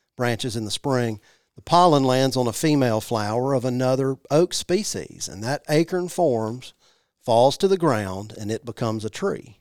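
A man with a Mississippi accent, medium pitch and lively intonation at a moderate pace, on a very clean recording with a silent background and a dry, close sound with no echo. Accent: US Southern (Mississippi). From Mississippi (Jackson). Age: 40s. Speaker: native plant nursery manager. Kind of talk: casual interview. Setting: studio.

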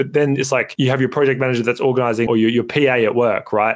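A man with an Australian accent and a medium pitch speaks at a very fast pace. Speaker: podcast co-host. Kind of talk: casual chat. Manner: loud.

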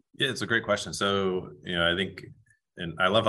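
The pace is very fast as a man speaks with an American accent. His tone is bright and sharp. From US Northeast. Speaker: physical therapist and golf performance researcher. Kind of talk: interview. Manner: many fillers (um, you know).

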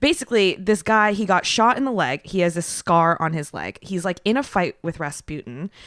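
A woman's animated tone and lively intonation at a moderate pace, with hardly any pauses, in a very clean recording with a silent background and a dry, close sound with no echo. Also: medium pitch for a woman. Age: 30s. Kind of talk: casual chat.

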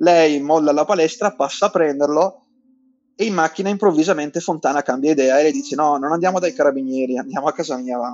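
A man rattles off his words very fast, his pitch fairly high. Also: ordinary pitch variation. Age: 40s. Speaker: journalist and newspaper editor. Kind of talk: interview testimony.

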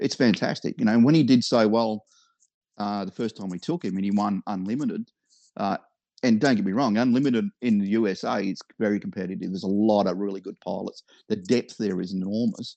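This man talks at a fairly quick pace with an Australian accent, a fairly low pitch and ordinary pitch variation. His tone is dark and mellow, and the sound is dry and close with no echo. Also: quiet background. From Victoria, Australia. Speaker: hobby businessman and aerobatic model pilot. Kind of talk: casual interview.

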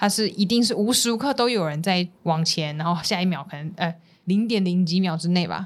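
A woman's ordinary speaking voice, medium in pitch, with ordinary pitch variation. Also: fairly quick pace. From Taipei, Taiwan. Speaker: dietitian, podcast co-host. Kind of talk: casual chat.

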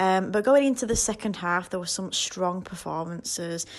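A woman speaks with a Yorkshire accent. Her pace is moderate. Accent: Yorkshire, posh-sounding. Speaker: football fan guest predictor. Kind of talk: voice note.

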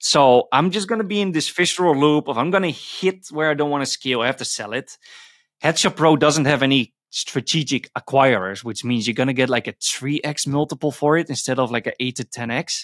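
In an ordinary speaking voice, a man speaks at a fairly high pitch with ordinary pitch variation, the sound dry and close with no echo. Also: fairly quick pace, very clean recording, silent background. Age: 20s. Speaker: indie entrepreneur. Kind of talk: casual interview.

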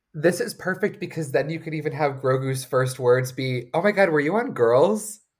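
A normal speaking voice from a man, with lively intonation, a moderate pace and hardly any pauses. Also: fairly high pitch for a man. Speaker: podcast host. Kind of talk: casual chat.

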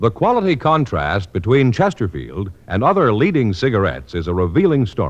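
Very wide pitch swings and vocal fry at a fairly quick pace with hardly any pauses. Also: man, fairly low pitch for a man. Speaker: radio announcer. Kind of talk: scripted announcement and commercial reading. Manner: formal, authoritative.

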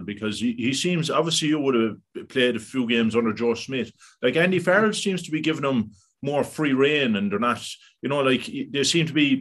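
With an Irish accent, a man speaks at a fairly quick pace. His pitch swings very widely. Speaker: podcast host. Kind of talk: casual interview.

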